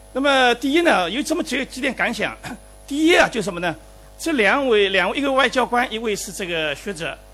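A man talks in a raised, projected voice with extremely high pitch and very wide pitch swings. He moves at a fairly quick pace over background music. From Shanghai. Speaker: professor, invited commentator. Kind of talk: closing commentary at a public forum. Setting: lecture hall with live audience. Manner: halting.

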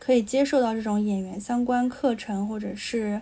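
A woman with a fairly high, somewhat breathy voice and a dark, mellow tone speaks at a fairly slow pace with fairly even intonation. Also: very clean recording, silent background. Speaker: podcast co-host. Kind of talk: casual chat.

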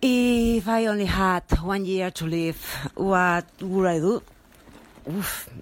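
A woman with a Spanish accent, very slow in pace, lively in intonation. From Barcelona, Spain. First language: Spanish or Catalan (speaking Chinese). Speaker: human resources manager. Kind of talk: recorded podcast answer. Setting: small apartment gathering.

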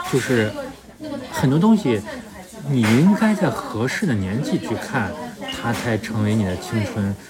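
The speech comes at a fairly slow pace, with noticeable background noise present. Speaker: podcast host. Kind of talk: casual chat. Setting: whisky bar.

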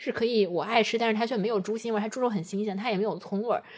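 A woman is speaking. Her pitch is fairly high. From Taiyuan, Shanxi, China. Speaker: podcast co-host. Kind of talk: casual chat.

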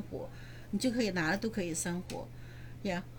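A woman with a medium pitch and vocal fry uses lively intonation, and audible room echo surrounds her voice. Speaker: real estate investor and landlord. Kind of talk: interview.

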